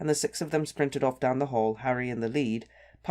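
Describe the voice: Plain reading aloud, its pitch varying in an ordinary way.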